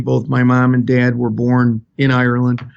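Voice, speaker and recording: With a Chicago accent, a man speaks in a medium pitch at a moderate pace. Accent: Chicago South Side. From Chicago South Side, US Midwest. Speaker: fire chief. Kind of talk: interview.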